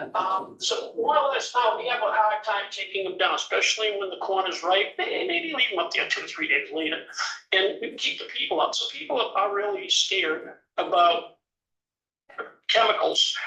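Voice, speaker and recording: A man's moderately paced speech carries audible room echo. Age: 70s. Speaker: vegetable farmer. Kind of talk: committee testimony.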